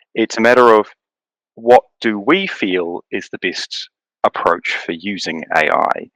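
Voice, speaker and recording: Speaking at a fairly slow pace, a man with a New Zealand accent uses a medium pitch and lively intonation. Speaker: writer and content strategist. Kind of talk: casual chat.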